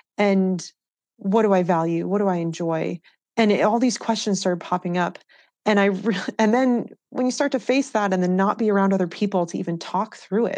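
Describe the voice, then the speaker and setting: With an American accent and an unremarkable speaking voice, a woman talks at a fairly quick pace and medium pitch, with ordinary pitch variation, against a quiet background. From US Northeast, New Hampshire. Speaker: professional mountain biker. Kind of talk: casual interview chat.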